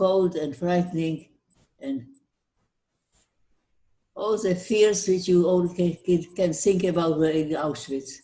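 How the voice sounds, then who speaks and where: Long, frequent pauses break up a woman's very slow delivery. Her voice is fairly low, with a dark, mellow tone. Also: ordinary pitch variation. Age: 80s+. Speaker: Holocaust survivor. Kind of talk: interview answer. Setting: video call. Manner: warm, friendly.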